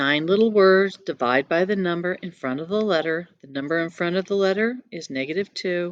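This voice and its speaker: A woman speaks in an ordinary speaking voice at a fairly low pitch, at a moderate pace. She barely pauses, and her loudness swings widely. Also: ordinary pitch variation. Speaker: math teacher. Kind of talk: tutorial.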